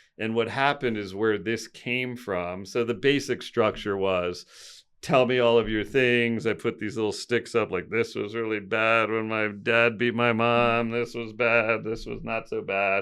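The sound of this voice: The voice moves at a fairly slow pace with few pauses, a clear, smooth and fairly bright tone, and fairly even intonation. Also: man, fairly low pitch for a man.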